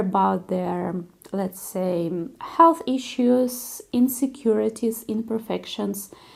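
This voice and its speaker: A woman with a Russian accent speaks at a very slow pace. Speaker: concert pianist. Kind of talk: vlog monologue.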